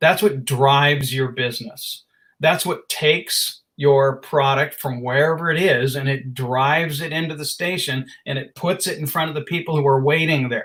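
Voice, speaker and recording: A man with a fairly high pitch uses a normal speaking voice at a moderate pace with ordinary pitch variation. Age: 60s. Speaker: marketing business owner. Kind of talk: interview.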